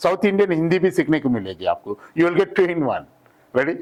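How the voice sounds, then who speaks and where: A man talks with a Hyderabadi accent. His intonation is lively. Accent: Hyderabadi Hindi. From Hyderabad, South India. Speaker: English trainer. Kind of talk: tutorial. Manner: animated.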